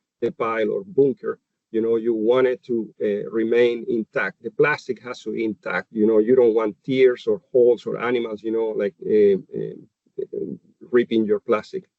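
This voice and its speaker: A man speaks with a Chilean accent. His pace is moderate. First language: Spanish. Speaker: animal nutritionist. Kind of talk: webinar presentation. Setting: webinar. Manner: halting, many fillers.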